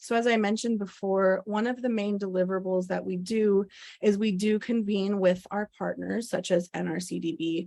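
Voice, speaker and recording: A woman speaks at a moderate pace with a medium pitch and fairly even intonation. It is an ordinary speaking voice. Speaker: presenter at policy briefing. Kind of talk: presentation.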